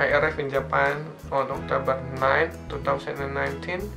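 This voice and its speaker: A man speaking at a fairly slow pace, with clear music in the background. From Indonesia. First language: non-native English speaker. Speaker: foreign student in Japan. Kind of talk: casual channel introduction to camera. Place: home room. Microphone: phone near.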